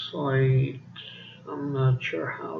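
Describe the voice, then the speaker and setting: Audible room echo surrounds a man speaking very slowly at medium pitch with ordinary pitch variation. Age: adult. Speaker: vlogger. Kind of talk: casual monologue. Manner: halting.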